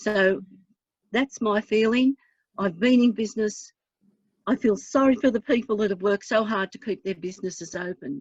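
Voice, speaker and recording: A woman with a fairly high, somewhat breathy voice speaks at a moderate pace with ordinary pitch variation and long, frequent pauses. The sound is dry and close, with no echo. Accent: Australian. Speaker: councillor. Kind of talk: council meeting debate.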